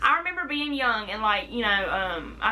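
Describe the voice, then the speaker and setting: Noticeable background noise is present, along with audible room echo. Through it, a female speaker talks. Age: 20s. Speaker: vlogger. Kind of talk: casual chat.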